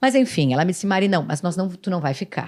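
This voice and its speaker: An animated tone on a very clean recording with a silent background. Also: woman. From Rio Grande do Sul, Brazil. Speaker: city councillor and former TV news presenter. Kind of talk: podcast interview.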